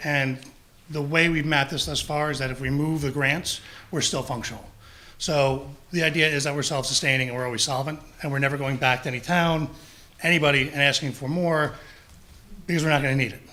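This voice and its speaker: The voice has a bright, sharp tone and monotone, flat intonation, moving at a fairly quick pace with audible room echo. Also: man, long, frequent pauses. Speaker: public health district official. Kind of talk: presentation at town council meeting. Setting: town council meeting, also streamed on Zoom. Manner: fast.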